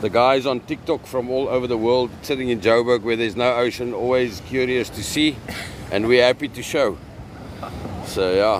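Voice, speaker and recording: With a South African accent, a man speaks at a medium pitch and moderate pace. His intonation is fairly even over noticeable background noise. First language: Afrikaans. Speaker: live streamer. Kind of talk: live stream commentary. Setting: outdoors at the beach. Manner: casual.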